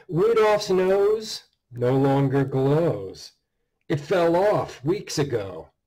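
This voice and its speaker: Over a quiet background, a man with a dark, mellow tone and fairly high pitch speaks at a very slow pace with very wide pitch swings. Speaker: horror author reading his own story. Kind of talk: dark Christmas horror story narration. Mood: dark, measured narration. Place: home room. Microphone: webcam.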